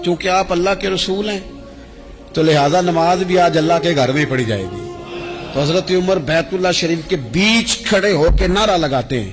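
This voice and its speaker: Ordinary pitch variation over music in the background. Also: man, high pitch for a man. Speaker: Islamic scholar giving a religious sermon. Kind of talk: Islamic sermon (bayan), emotional preaching.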